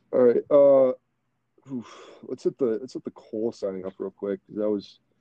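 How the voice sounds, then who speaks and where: Speaking at a moderate pace, a man with an American accent has a dark, mellow tone. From Michigan, US. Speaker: podcast host, former college baseball player. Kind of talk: casual chat. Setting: home basement, remote recording.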